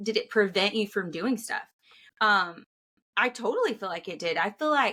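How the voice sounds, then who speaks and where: At a moderate pace, a woman uses a plain, everyday voice of medium pitch with ordinary pitch variation. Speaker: guest sharing faith story. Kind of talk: testimony. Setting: podcast recording.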